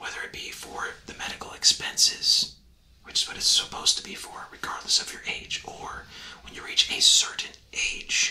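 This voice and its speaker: Whispering at a moderate pace, a man sounds breathy, and his loudness swings widely. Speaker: presenter. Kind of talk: tutorial. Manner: close, breathy ASMR whisper.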